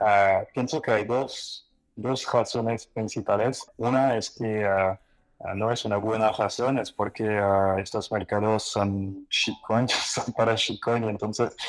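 In a very clean recording with a silent background, a man with a French accent speaks very slowly at a medium pitch, his intonation monotone and flat. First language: French (speaking Spanish). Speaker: exchange founder. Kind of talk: live panel discussion. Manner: halting, many fillers.

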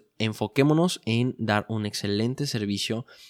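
A man speaks at a fairly slow pace in a fairly low pitch with a normal speaking voice, recorded very cleanly against a silent background in a dry, close sound with no echo. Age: 20s. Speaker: entrepreneur podcast host. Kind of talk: solo podcast monologue.

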